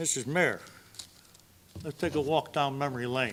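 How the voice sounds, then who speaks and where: Over noticeable background noise, a man talks at a moderate pace. His pitch is fairly high and varies in an ordinary way. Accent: American. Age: 70s. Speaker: public commenter at city council. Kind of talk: public comment at council meeting. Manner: animated.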